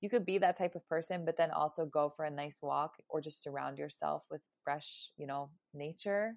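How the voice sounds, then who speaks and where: A woman talks with a very deep, low pitch. She keeps a moderate pace and ordinary pitch variation. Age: 20s. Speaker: podcast host. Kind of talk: solo podcast monologue. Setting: at home. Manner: animated.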